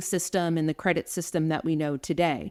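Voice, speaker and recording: The speaker is a woman with an American accent. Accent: New Jersey and slight New York City. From New Jersey, US. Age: 40s. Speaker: nurse and nursing education director. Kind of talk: podcast interview. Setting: remote call.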